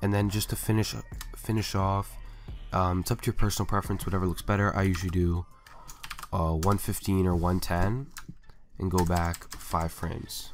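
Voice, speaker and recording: Music plays in the background as a man with a very deep, low pitch speaks at a moderate pace. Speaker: video editor. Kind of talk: software tutorial voiceover. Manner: casual, hesitant.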